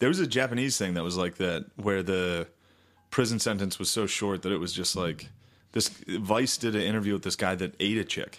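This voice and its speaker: With an American accent, a man has an unremarkable speaking voice, fairly low in pitch, with ordinary pitch variation at a moderate pace. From Pennsylvania, US. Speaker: comedy podcast co-host. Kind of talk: casual chat.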